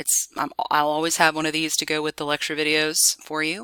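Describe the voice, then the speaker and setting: A woman's very deep, low voice with a bright, sharp tone and a dry, close sound with no echo. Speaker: professor. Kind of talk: lecture. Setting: screen recording. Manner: fast.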